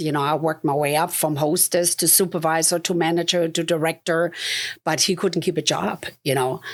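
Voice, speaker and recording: In a German accent, a woman talks with fairly even intonation on a very clean recording with a silent background. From Germany. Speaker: realtor and investor. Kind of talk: interview testimony. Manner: conversational, many fillers.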